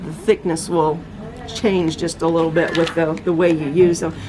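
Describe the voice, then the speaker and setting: Noticeable background noise is present throughout. A woman speaks at a moderate pace. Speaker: tarot reader. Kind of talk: product review talk. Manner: halting, stuttering; enthusiastic.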